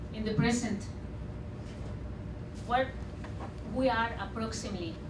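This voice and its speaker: A Spanish accent over noticeable background noise. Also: woman, moderate pace. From Sinaloa, Mexico. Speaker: artist and radio producer. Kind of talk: public talk. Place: hall.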